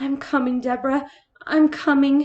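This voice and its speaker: Putting on a character voice, a woman talks at a high pitch and a moderate pace with monotone, flat intonation. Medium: read story. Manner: proper, formal.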